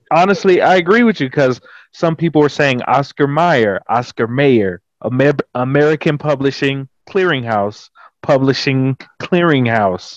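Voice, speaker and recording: A man talks at a fairly slow pace with lively intonation and a fairly high pitch. His loudness stays very even, and the sound is dry and close with no echo. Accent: Texan. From Texas. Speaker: social media content creator. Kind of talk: casual chat.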